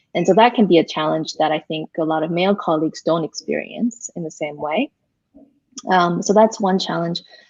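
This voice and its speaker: A woman with an American accent talks fairly quickly in an ordinary speaking voice, her pitch fairly low with ordinary variation. The sound is dry and close, with no echo. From US, Korean American community. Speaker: pastor. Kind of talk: interview. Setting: live online broadcast.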